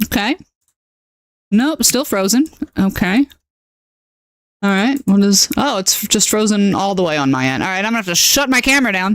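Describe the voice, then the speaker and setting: Recorded dry and close with no echo, a woman at medium pitch talks at a moderate pace in an animated tone, her intonation lively and broken by long, frequent pauses. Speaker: video game streamer. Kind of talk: live gameplay stream chat.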